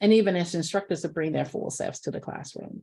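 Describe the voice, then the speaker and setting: With a Southern US accent, a woman speaks with ordinary pitch variation. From US South. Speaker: professor. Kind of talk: lecture.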